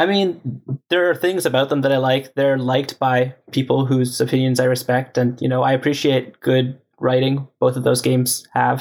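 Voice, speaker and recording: A man with a Canadian accent and a normal speaking voice, medium in pitch, at a moderate pace, with very even loudness and fairly even intonation. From Canada. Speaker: software engineer. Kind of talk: casual chat.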